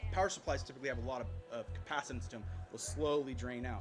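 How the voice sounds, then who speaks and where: A man's fairly high voice at a very fast pace, with music in the background. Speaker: conference speaker on electronics troubleshooting. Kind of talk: technical talk to live audience.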